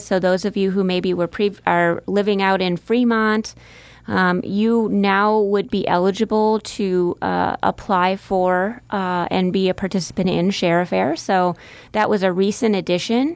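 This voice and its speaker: In a normal speaking voice, a woman talks at a medium pitch and a fairly slow pace with fairly even intonation. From central Wisconsin. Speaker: nonprofit executive director. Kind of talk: radio interview. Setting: radio studio.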